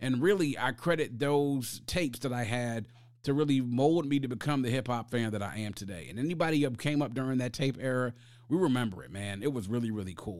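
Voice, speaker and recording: In a very clean recording with a silent background, a man with an unremarkable speaking voice talks fairly quickly at medium pitch with ordinary pitch variation. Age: 40s. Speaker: podcast host. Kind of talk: solo podcast monologue.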